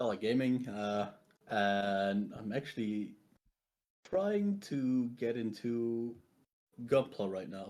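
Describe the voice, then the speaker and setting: Speech comes in a Belgian accent with ordinary pitch variation. The pace is very slow, with long, frequent pauses. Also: man, medium pitch for a man. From Belgium. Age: 20s. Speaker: tabletop game player. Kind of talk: casual chat. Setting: live stream.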